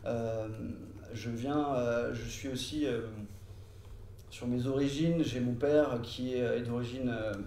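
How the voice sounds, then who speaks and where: A man with a medium pitch and fairly even intonation at a fairly slow pace, with long, frequent pauses and audible room echo. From France (lived in French Polynesia and the Antilles). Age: 30s. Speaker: law and economics teacher, political activist. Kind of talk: interview. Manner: hesitant, many filler sounds.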